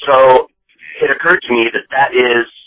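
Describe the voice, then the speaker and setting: This man speaks at a moderate pace and medium pitch, with a slight Boston accent. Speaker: listener leaving voicemail. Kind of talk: voicemail message. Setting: phone voicemail.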